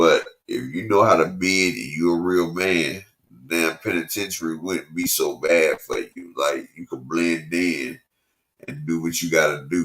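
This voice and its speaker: Fairly slow and with fairly even intonation, a man talks in a very deep, low pitch. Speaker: former prisoner telling his story. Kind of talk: casual storytelling monologue. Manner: casual, loose.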